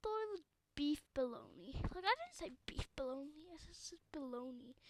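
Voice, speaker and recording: The woman here has a high-pitched voice. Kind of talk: casual talk to camera.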